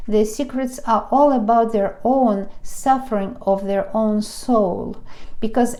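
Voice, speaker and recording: With a Russian accent, a woman speaks fairly slowly in a fairly high voice with fairly even intonation over noticeable background noise. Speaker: tarot reader. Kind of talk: tarot reading monologue. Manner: halting.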